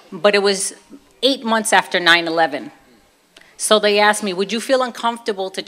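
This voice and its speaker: With a Brooklyn accent, a woman talks at a fairly quick pace and medium pitch, showing ordinary pitch variation and long, frequent pauses. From US, Brooklyn, New York. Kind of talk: testimony.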